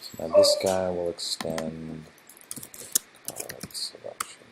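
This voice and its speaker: A mumbling man amid noticeable background noise. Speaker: game developer streamer. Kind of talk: live coding stream. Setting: live stream. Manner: mumbling to himself.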